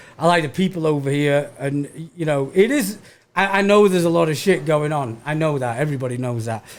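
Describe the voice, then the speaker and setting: A man at a fairly quick pace, fairly high in pitch with ordinary pitch variation. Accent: Manchester. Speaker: stand-up comedian. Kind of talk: casual chat. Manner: stammering repetitions.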